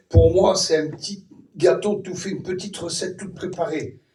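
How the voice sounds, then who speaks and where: This man's pitch is high, with ordinary pitch variation. He keeps a moderate pace. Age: 60s. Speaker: preacher. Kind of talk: sermon.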